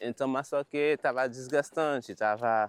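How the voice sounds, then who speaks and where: Heard in a dry, close sound with no echo, a man speaks at a medium pitch. His pace is very slow and his intonation fairly even. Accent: Haitian Creole. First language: Haitian Creole (speaking Portuguese). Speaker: Haitian immigrant. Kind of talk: documentary interview.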